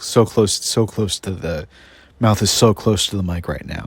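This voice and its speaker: A quiet man talks at a moderate pace with fairly low pitch and fairly even intonation on a very clean recording with a silent background. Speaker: podcast host. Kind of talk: casual monologue. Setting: outdoors in the woods. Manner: speaking very quietly; halting, many restarts. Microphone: mouth very close to the mic.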